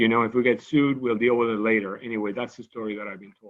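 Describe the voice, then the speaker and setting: A man speaks in a Cuban accent. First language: Spanish. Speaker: medical scientist. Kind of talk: lecture. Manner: halting, with frequent repetitions.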